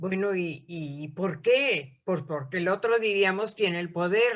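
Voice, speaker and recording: Against a quiet background, a woman at medium pitch speaks at a very slow pace with very wide pitch swings. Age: 80s+. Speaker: course participant. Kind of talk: class discussion.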